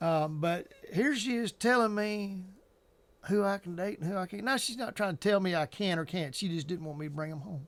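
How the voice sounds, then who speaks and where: A man with a high pitch, ordinary pitch variation and a fairly quick pace. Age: 60s. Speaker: vlogger. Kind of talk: casual monologue to camera. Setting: home basement. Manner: hesitant, many fillers and restarts.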